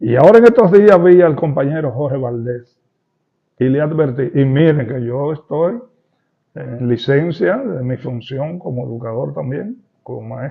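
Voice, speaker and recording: A man with a fairly high voice speaks at a fairly slow pace, somewhat breathy. His intonation is lively, and his loudness swings widely. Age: 70s. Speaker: retired teachers' union leader. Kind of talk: interview.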